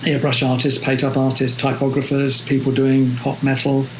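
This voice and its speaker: A man with a London accent amid audible room echo and noticeable background noise. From London, England. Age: 70s. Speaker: photographer. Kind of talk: interview. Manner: hesitant, many fillers.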